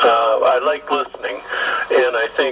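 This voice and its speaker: A man talks fairly slowly over noticeable background noise. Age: 60s. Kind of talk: casual radio conversation.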